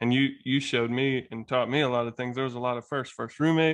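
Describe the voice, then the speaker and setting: With an American accent, a man talks at a fairly quick pace with fairly even intonation. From US South, Alabama. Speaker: podcast guest. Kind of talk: casual conversation.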